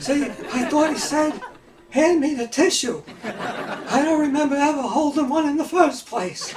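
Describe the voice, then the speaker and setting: In a put-on character voice with an extremely high pitch, a man talks at a moderate pace. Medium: audio drama. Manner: cheerful, agreeable.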